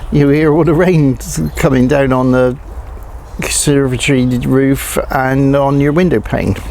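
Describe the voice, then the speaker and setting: Over noticeable background noise, a man talks at a fairly slow pace with very even loudness and fairly even intonation. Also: fairly high pitch for a man. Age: 60s. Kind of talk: casual talk to camera. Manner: hesitant, conversational.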